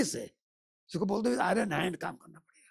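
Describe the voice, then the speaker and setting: An animated man speaks with very wide pitch swings. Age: 70s. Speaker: temple restoration campaigner. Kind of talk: podcast interview.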